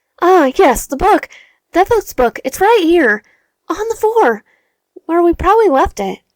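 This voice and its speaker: In a squeaky put-on character voice, a woman speaks at an extremely high pitch with very wide pitch swings. Her pace is moderate, with long, frequent pauses. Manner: deadpan, sarcastic.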